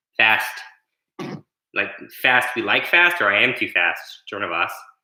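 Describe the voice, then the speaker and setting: The man's tone is bright and sharp, his pitch medium. His intonation is lively, and audible room echo surrounds him. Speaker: martial arts instructor. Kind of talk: online fitness class instruction. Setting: at home, livestream. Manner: fast.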